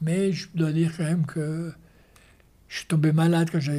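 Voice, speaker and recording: With a dark, mellow tone, a man speaks at a fairly high pitch. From Switzerland. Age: 70s. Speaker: show jumping coach and former Olympic rider. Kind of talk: interview. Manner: halting.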